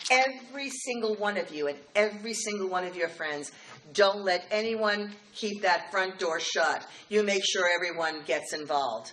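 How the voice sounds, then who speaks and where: With an American accent, a woman speaks at a medium pitch and a moderate pace, her intonation lively, amid noticeable background noise. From New York City, Queens. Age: 60s. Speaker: political organization president. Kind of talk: speech. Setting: dinner event with audience. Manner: animated.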